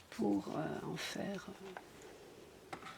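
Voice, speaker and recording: A soft-spoken woman is heard against noticeable background noise. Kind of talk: casual ASMR collection show-and-tell.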